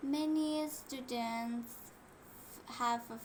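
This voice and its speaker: The intonation stays fairly even. Audible room echo and noticeable background noise fill the recording. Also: woman. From Indonesia. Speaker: English learner. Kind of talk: class presentation. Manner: halting.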